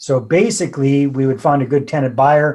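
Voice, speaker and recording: In a plain, everyday voice, a man with a Canadian accent speaks at a moderate pace, his pitch fairly high. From Canada, British Columbia. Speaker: real estate investor and author. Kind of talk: podcast interview.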